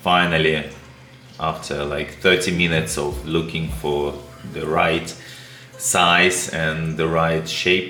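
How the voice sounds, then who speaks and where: Amid noticeable background noise and audible room echo, a man with a very deep, low pitch talks at a very slow pace, with fairly even intonation and long, frequent pauses. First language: not English. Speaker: aquarium hobbyist YouTuber. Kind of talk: tutorial. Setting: home studio. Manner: halting.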